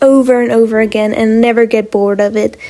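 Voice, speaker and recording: Over noticeable background noise, a woman speaks in a high voice with a non-native accent. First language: not English. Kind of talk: casual talk to camera.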